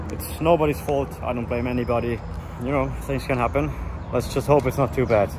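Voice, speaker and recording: Talking at a fairly quick pace, a man is heard over noticeable background noise. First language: German. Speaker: car YouTuber. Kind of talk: casual vlog narration. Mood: disappointed, resigned. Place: open country. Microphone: phone near.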